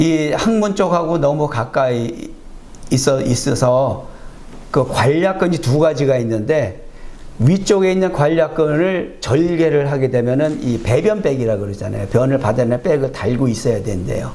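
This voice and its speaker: A man at a fairly high pitch with lively intonation and a fairly slow pace, in audible room echo. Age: 60s. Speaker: preacher. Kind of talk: sermon with personal testimony. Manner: conversational with fillers.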